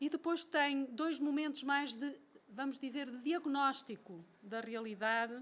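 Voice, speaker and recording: This woman's pitch varies in an ordinary way. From Portugal. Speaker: professor. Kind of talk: lecture. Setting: lecture hall with audience. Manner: slow; reading from a text.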